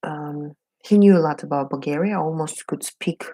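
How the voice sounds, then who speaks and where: A woman with a Russian accent speaks at a moderate pace in a very deep, low voice with ordinary pitch variation. Her tone is dark and mellow, and the sound is dry and close with no echo. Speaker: beauty vlogger. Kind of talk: casual get-ready-with-me chat. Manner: halting, many fillers.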